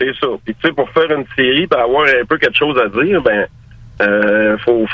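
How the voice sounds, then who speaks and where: The voice, a normal speaking voice, shows ordinary pitch variation. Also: man. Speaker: car restorer. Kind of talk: casual chat.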